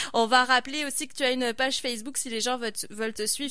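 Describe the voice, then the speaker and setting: A woman's bright, sharp tone with fairly even intonation. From France. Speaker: radio host. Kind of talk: radio magazine interview.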